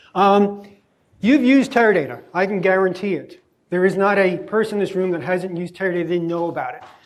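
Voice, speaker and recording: A man talks very fast at a high pitch with ordinary pitch variation. His loudness swings widely, and the room echo is audible. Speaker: guest lecturer, tech executive. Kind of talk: lecture. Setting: lecture hall with students.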